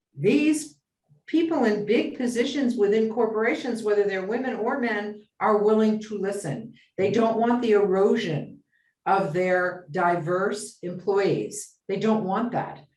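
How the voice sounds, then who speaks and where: Audible room echo surrounds a woman speaking at a fairly slow pace. Her pitch is fairly high, with ordinary variation. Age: 70s. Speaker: business consultant. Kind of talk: interview.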